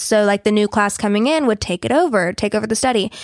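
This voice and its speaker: Speaking with a Southern US accent, a woman uses a fairly high pitch. The recording is very clean with a silent background, dry and close with no echo. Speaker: podcast co-host. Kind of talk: casual chat. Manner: animated.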